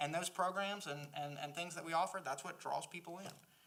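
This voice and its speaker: A man in a strong Southern US accent speaks with ordinary pitch variation. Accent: Southern US accent, strong and lasting. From South Carolina. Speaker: library board member, former teacher. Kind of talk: board meeting discussion. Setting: public board meeting.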